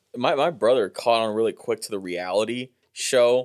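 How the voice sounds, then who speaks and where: A man with a plain, everyday voice speaks at medium pitch and a moderate pace. The recording is very clean, its background silent. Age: 20s. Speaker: comedian. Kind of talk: casual chat.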